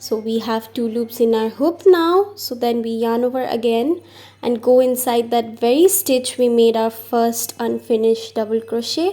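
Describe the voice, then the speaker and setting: Woman with a plain, everyday voice, fairly high pitch, ordinary pitch variation and a moderate pace. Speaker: crochet teacher. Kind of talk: craft tutorial voice-over. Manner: upbeat, friendly.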